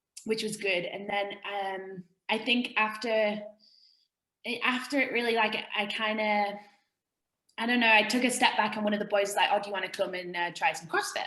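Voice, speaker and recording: This woman's fairly high, bright, sharp voice keeps a fairly even intonation. She talks at a moderate pace with long, frequent pauses. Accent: English. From England, small country town. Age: 20s. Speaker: fitness coach and former rugby player. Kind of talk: casual interview chat. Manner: informal, many fillers (um, like).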